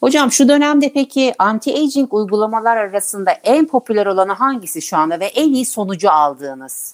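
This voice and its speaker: A woman with a fairly high pitch talks at a fairly quick pace with hardly any pauses and very wide pitch swings. Her loudness stays very even, and the sound is dry and close with no echo. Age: 40s. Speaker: podcast host. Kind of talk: interview.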